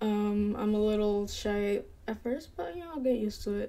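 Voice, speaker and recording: Mumbling at a moderate pace, a woman speaks with a dark, mellow tone and a fairly high pitch. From Dominican-American, parents from Dominican Republic. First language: bilingual Spanish speaker. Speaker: gaming streamer. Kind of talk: casual live-stream chat. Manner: hesitant, unconfident delivery.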